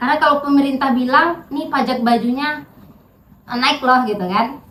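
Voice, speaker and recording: There is audible room echo around a woman's high-pitched voice. She talks at a moderate pace with ordinary pitch variation. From Riau, Indonesia (Pekanbaru area). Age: 30s. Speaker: political candidate. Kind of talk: interview. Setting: at her home. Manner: casual, conversational.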